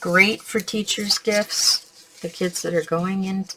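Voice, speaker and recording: A woman speaks at medium pitch and a very slow pace. Noticeable background noise sits behind her. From Canada. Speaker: crafting tutorial host. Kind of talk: tutorial. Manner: casual, chatty.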